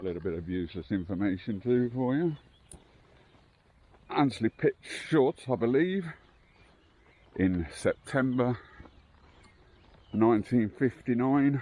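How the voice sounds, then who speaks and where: Quiet and at a fairly slow pace, a man speaks with long, frequent pauses. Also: medium pitch for a man, lively intonation. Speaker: local history vlogger. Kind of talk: walking vlog narration. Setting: outdoors, walking a site. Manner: quiet, hushed.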